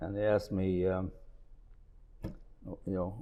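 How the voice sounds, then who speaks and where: Monotone and flat, a man speaks at a fairly slow pace with a fairly low pitch. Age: 80s+. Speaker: family business owner. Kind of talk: casual chat.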